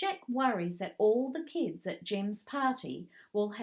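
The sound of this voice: This reading voice is unforced, with intonation that is lively.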